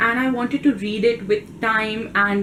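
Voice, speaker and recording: A woman speaks with an Indian accent at a fairly high pitch. Noticeable background noise runs behind her. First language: Hindi. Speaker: book vlogger. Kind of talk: casual vlog talk.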